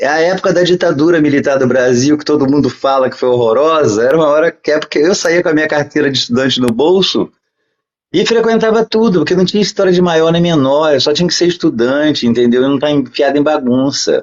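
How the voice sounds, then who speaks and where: Talking at a very fast pace, a man with a fairly high pitch keeps a very even loudness and ordinary pitch variation. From Brazil. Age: 60s. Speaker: podcast guest. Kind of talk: interview storytelling.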